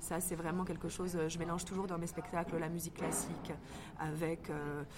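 Speaking at a moderate pace, a woman uses a fairly low pitch and a monotone, flat intonation. The room echo is audible, and there is noticeable background noise. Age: 20s. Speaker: actress and stage director. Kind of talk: casual interview. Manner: hesitant with many fillers.

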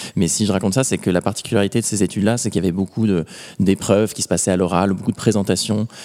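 Very fast and fairly low-pitched, a man speaks with a dark, mellow tone and fairly even intonation. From Normandy, France. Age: 20s. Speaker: adventurer. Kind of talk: interview. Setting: museum.

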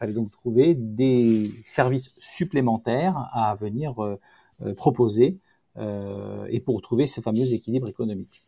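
A man with a dark, mellow tone talks at a medium pitch with ordinary pitch variation. His fairly slow delivery has long, frequent pauses, and the sound is dry and close with no echo. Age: 50s. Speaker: company founder. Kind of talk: interview. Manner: halting.

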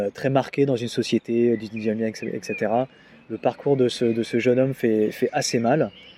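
Fairly even intonation from a man speaking at a medium pitch. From Normandy, France (Deauville). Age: 30s. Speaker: arts touring administrator. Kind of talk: interview. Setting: face to face. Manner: halting, many repetitions and fillers.

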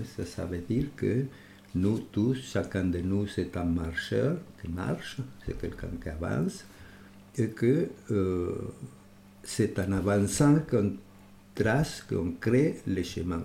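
In a Spanish accent, a man speaks very slowly with long, frequent pauses, his fairly low voice somewhat breathy, dark and mellow, and his intonation lively. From Uruguay. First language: Spanish (speaking French). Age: 80s+. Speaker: architect. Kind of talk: interview. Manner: halting, repeats words.

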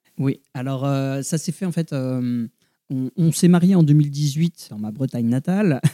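A man's fairly high voice with a dark, mellow tone, a fairly slow pace and ordinary pitch variation, the sound dry and close with no echo. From Brittany, France. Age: 30s. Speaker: new father. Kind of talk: interview. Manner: hesitant.

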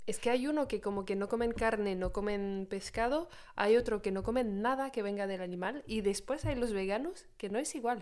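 At a moderate pace and with hardly any pauses, a woman uses an unremarkable speaking voice with a fairly high pitch and ordinary pitch variation. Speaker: podcast co-host. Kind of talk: casual chat. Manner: laughs often.

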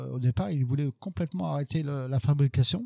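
A very clean recording with a silent background, carrying a man's dark, mellow tone. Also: dry, close sound with no echo. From western France, Sarthe. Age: 50s. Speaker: barista and coffee trainer. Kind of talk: casual interview. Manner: hesitant, repeats words.

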